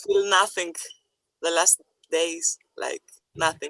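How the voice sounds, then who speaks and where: Someone with a non-native accent speaks at a fairly slow pace. The intonation stays fairly even, and the sound is dry and close with no echo. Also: woman. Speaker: person with lived experience. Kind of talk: personal testimony.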